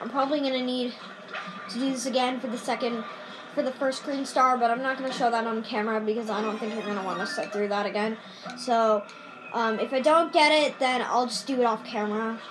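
Against noticeable background noise, a woman talks at a fairly quick pace with a high pitch. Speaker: gamer filming own play. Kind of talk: casual gameplay commentary. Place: home room. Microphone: phone near.

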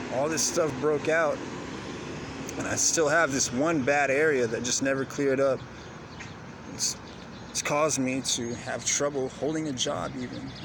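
At a moderate pace with long, frequent pauses, a man speaks in a fairly high, flat monotone, the sound dry with no echo and noticeable background noise. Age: 30s. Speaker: vlogger. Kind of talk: personal monologue. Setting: outdoors in city. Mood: reflective, personal storytelling. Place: open country. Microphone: phone near.

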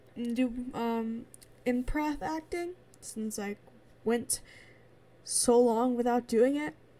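With long, frequent pauses, a woman speaks at a very slow pace in a high-pitched voice with a dark, mellow tone and ordinary pitch variation. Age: 20s. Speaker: gaming YouTuber. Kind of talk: casual vlog update. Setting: home recording, late night. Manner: rambling with many fillers.

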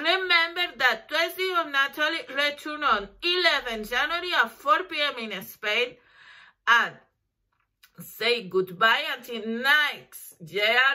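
A voice with a Spanish accent is raised and projected, its tone bright and sharp. It moves at a very slow pace with very wide pitch swings over a quiet background. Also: woman. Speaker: lawyer; lawyer promoting her services. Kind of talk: promotional talk to camera. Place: home room. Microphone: webcam.

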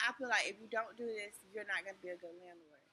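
The woman talks with fairly even intonation. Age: 40s. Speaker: vlogger. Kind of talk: casual vlog talk to camera. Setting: in a store. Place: shop. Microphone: phone near.

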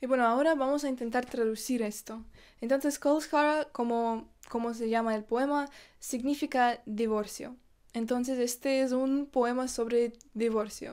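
Over a quiet background, a woman speaks high in pitch at a fairly slow pace with fairly even intonation. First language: not Spanish (speaking Spanish). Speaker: YouTuber; vlogger. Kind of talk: vlog. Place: home room. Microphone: phone near.

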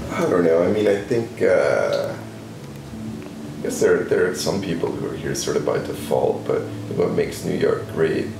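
There is audible room echo around a man's voice. Noticeable background noise is present as well. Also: fairly slow pace. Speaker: interviewee, model maker. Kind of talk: interview answer. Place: home room.

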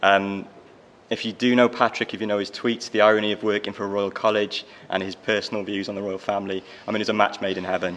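A man's fairly low, monotone, flat voice at a very fast pace. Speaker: professional body manager. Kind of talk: panel presentation. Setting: stage with audience. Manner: jokey. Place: hall. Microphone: podium.

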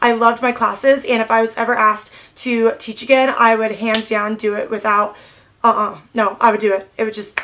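Against light background noise, a woman talks at a fairly quick pace in a bright, sharp tone with fairly even intonation. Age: 20s. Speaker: beauty vlogger. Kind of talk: casual chat. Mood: warm, nostalgic. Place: home room.

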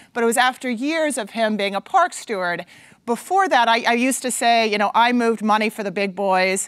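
Against a quiet background, a woman speaks at a moderate pace with lively intonation in a dry sound with no echo. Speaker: conference speaker. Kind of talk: conference talk. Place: stage. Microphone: lapel.

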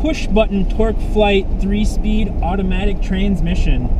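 A man is speaking over noticeable background noise. The sound is dry, with no echo. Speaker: car dealer host. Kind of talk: casual car review commentary. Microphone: camera far.

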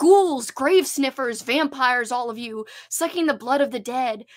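A woman puts on a shrill character voice, high in pitch with ordinary pitch variation. She keeps a moderate pace, with big swings in loudness. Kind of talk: live stream book discussion. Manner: screeching, accusing.

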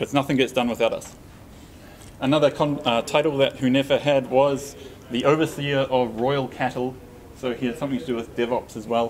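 With light background noise behind him, a man talks at a moderate pace. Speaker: conference speaker. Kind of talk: lecture. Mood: light, joking. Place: hall.

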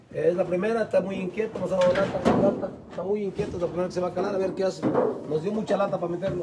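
Loud noise sits behind the voice. The man talks very fast. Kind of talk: explanatory casual talk. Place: open country. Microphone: phone near.

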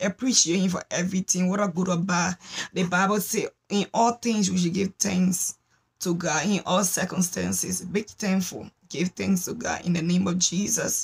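Somewhat breathy, a woman talks at a moderate pace with fairly even intonation. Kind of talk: prayer exhortation. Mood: fervent, devotional. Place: home room. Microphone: phone near.

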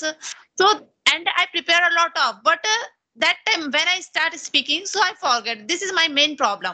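At a moderate pace against a quiet background, a woman with an Indian accent speaks in a raised, projected voice with a bright, sharp tone. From India (Chhattisgarh). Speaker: English learner and YouTuber. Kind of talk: casual English practice conversation. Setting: video call. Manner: halting, nervous. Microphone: video call.

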